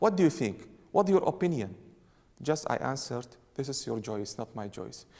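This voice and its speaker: Speaking at a moderate pace and a medium pitch, a man uses very wide pitch swings and big swings in loudness, with long, frequent pauses. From Iraq, Mosul. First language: Aramaic. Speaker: priest. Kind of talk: interview. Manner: halting, repeats words.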